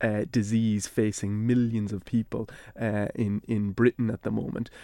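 In an Irish accent, the speaker has a dark, mellow tone at a moderate pace with fairly even intonation, on a very clean recording with a silent background and a dry, close sound with no echo. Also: man. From Ireland. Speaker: university lecturer in Celtic studies. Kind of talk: radio interview.

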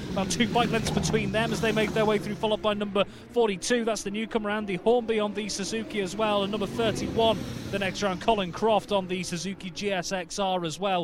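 Amid noticeable background noise, a man with a high pitch talks in an animated tone at a fairly quick pace. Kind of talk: live race commentary. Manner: fast, rattling off riders' numbers and positions as they flash by.

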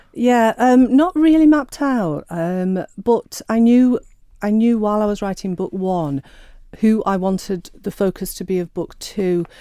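A woman with a Sheffield accent has a fairly high pitch and a dark, mellow tone, speaking fairly slowly with lively intonation. The recording is very clean with a silent background. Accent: Yorkshire (Sheffield). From northern England, Sheffield. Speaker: novelist. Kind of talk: interview. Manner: hesitant, many fillers.

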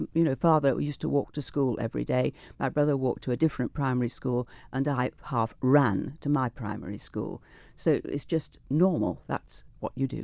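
With a dry, close sound and no echo, a woman talks in a dark, mellow tone with vocal fry and ordinary pitch variation. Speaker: retired teacher. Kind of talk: radio interview. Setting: studio. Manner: fast.

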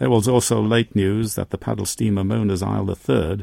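Speaking at a fairly quick pace, a man with a fairly low pitch uses a dark, mellow tone touched by vocal fry, heard in a dry, close sound with no echo. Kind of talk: history documentary narration. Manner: measured, formal, steady storytelling pace; solemn, authoritative, clearly enunciated.

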